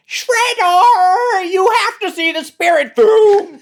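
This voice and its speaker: A put-on character voice, extremely high in pitch and very slow in pace. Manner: villainous.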